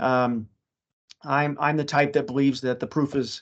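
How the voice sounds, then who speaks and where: With an ordinary speaking voice and medium pitch, a man speaks at a moderate pace against a quiet background. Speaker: city planner. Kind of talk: webinar presentation.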